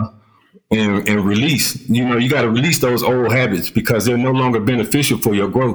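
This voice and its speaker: An unremarkable speaking voice, a man's, at medium pitch with an American accent, very even loudness and fairly even intonation. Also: fairly quick pace. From US South, Columbus, Georgia. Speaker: retired army sergeant, author and speaker. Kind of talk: interview.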